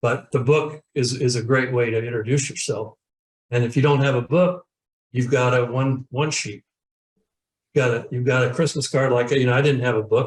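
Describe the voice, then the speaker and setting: At a moderate pace, a man with a medium-pitched, somewhat breathy voice speaks with fairly even intonation. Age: 70s. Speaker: professional speaker and sales trainer. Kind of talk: interview. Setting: webinar video call. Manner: halting, many repeated words.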